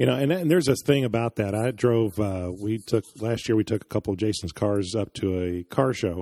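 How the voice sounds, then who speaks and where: Lively in intonation, a man with a dark, mellow tone speaks with hardly any pauses. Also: dry, close sound with no echo. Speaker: co-host. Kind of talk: casual interview chat.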